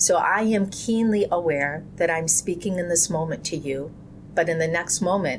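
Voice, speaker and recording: A woman with an ordinary speaking voice talks at a moderate pace. Her pitch is fairly low, with ordinary variation. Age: 50s. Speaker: Islamic community leader. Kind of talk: interview. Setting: podcast. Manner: reflective, earnest.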